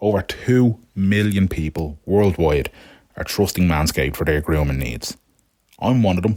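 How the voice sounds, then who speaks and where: In a very deep, low pitch, a man talks at a moderate pace with lively intonation. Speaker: podcast host. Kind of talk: podcast sponsor ad read. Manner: jokey, casual.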